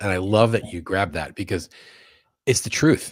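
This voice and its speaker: An American accent marks this man's fairly quick, fairly low-pitched speech. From New York. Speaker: sales consultant and author. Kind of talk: interview.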